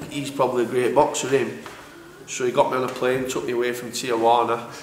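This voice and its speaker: With a Yorkshire accent, a man of medium pitch speaks at a fairly quick pace in a monotone, flat intonation, with noticeable background noise and audible room echo. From northern England, Sheffield. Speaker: professional boxer. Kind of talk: casual interview.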